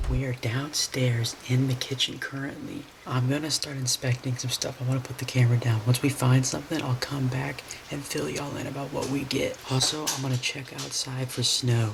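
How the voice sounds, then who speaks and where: A man talks fairly quickly at a medium pitch, in a monotone, flat intonation. Noticeable background noise can be heard. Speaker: vlogger. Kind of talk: casual vlog narration. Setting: at home, in the kitchen at night.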